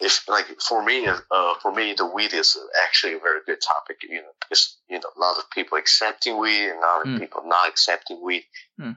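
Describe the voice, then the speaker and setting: A man speaks with a Chinese accent at a fairly quick pace. His loudness swings widely. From China. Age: young. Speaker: college student. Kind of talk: casual chat.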